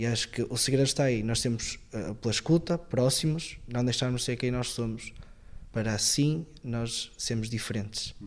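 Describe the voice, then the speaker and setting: A man with a normal speaking voice at a moderate pace, medium pitch and ordinary pitch variation. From northern Portugal, Viana do Castelo. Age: 20s. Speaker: seminarian. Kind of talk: interview testimony.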